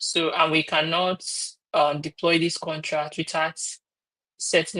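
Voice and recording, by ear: A bright, sharp tone with little pitch movement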